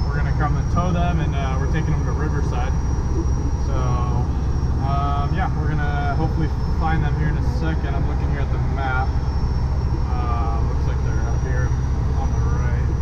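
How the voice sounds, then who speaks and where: A man talks at a moderate pace, with long, frequent pauses. Loud noise fills the background. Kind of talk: casual vlog chat. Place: car. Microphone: phone near.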